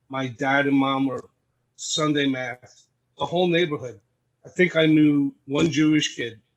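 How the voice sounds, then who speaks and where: A man speaks with a Brooklyn accent. His pitch is fairly high and his intonation fairly even. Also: fairly slow pace. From Brooklyn, New York. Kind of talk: podcast interview. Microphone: audio issues in recording.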